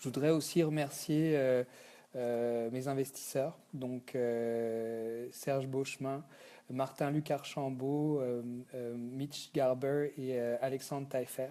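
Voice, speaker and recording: A man at medium pitch speaks at a very slow pace in a dark, mellow tone. His intonation is monotone and flat. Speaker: company founder. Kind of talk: thank-you video message. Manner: halting, many fillers.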